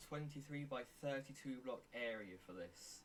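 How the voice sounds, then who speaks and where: A man talks with a fairly high pitch. He has an unremarkable speaking voice. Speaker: Minecraft tutorial creator. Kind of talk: tutorial.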